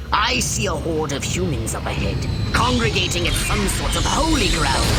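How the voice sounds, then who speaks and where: A cartoonish character voice at a moderate pace, over loud background noise. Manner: pompous, lecturing.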